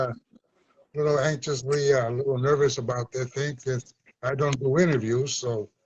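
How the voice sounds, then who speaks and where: A man's fairly high, somewhat breathy voice moves along at a moderate speed. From Chicago, US (born Puerto Rico). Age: 70s. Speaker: community activist and former movement leader. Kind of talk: interview.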